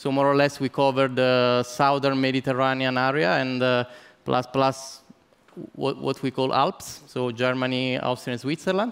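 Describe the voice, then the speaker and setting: At a moderate pace, a man talks in a medium-pitched voice with fairly even intonation. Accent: Italian. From Italy. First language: Italian. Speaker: business development executive, keynote speaker. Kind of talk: conference keynote. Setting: conference stage with audience. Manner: halting, many fillers and repetitions.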